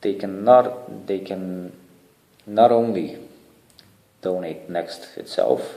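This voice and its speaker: A man speaks, and audible room echo surrounds his voice. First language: not English (third language). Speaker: charity founder. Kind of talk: video proposal to online community. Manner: casual, hesitant with fillers.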